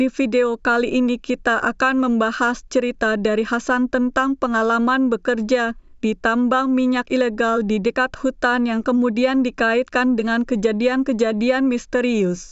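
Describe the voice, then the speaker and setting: With a non-native accent, a woman speaks at a high pitch and a moderate pace in a monotone, flat intonation, her loudness very even and hardly any pauses. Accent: non-native Indonesian, self-described. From born in China. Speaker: YouTube reaction commentator. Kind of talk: video commentary intro.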